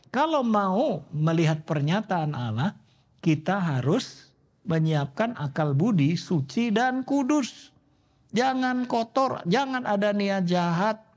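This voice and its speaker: A man speaks very slowly at a high pitch, with very wide pitch swings and very even loudness. The background is quiet. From Indonesia, Surabaya (East Java). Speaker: pastor. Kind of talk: sermon. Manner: animated.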